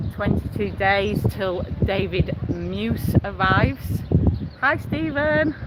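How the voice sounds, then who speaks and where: There is noticeable background noise behind the speaker. He is a man with a Yorkshire accent. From Yorkshire, Leeds. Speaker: travel vlogger. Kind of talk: live stream chat reading viewer messages. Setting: outdoors on the beach, walking. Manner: casual, hesitant with fillers.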